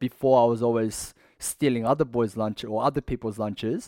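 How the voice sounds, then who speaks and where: Here is a man with an Australian accent. He speaks at a fairly quick pace. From Western Sydney, Australia. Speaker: former prisoner, fitness business owner. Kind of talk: interview storytelling.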